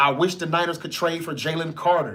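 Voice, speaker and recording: A man's high voice at a moderate pace, with audible room echo. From North Mississippi. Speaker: sports podcast host. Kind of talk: casual live-stream chat.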